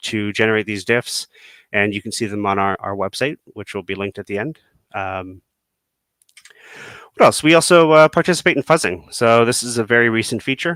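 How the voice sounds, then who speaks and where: A bright, sharp tone at a fairly quick pace, with ordinary pitch variation, big swings in loudness, and a very clean recording against a silent background. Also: man. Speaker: software developer. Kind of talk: technical presentation. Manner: fast; filler-heavy, many ums.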